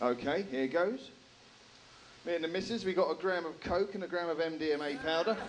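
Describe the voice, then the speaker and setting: Against noticeable background noise and audible room echo, a man with a strong English accent talks fairly quickly in a high voice with ordinary pitch variation. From England. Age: 30s. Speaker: stand-up comedian. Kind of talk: stand-up. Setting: stage with audience.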